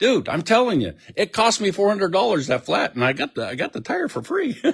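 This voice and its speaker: A loud, animated, high-pitched man's voice with very wide pitch swings. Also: fairly quick pace. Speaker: hot rod hobbyist vlogger. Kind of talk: casual vlog monologue. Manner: animated, halting with repetitions.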